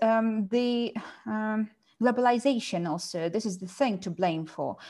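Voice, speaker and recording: Her pitch is fairly high for a woman, and she talks fairly slowly in a dark, mellow tone with lively intonation. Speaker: teacher and podcast host. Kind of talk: casual discussion.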